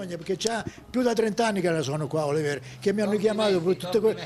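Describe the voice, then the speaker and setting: A man at a very fast pace, high pitch and ordinary pitch variation, over noticeable background noise. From Sicily, Oliveri (Messina). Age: 80s+. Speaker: retired fisherman. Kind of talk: interview storytelling. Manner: halting, repetitive.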